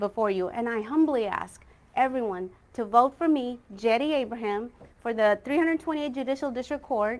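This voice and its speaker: A woman speaks with a high voice. Her pace is moderate and her pitch variation ordinary. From India, raised in Texas. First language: Malayalam. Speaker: lawyer and judicial candidate. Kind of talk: campaign speech at candidate forum. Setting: candidate forum, simulcast online. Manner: earnest, formal.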